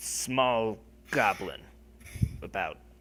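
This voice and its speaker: This man puts on a character voice. It sits at a medium pitch. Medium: actual play. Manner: formal, deferential.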